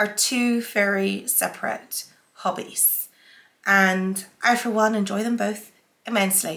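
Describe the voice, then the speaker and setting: A woman speaks with a Northern Irish accent. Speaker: sewing vlogger. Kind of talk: casual haul vlog.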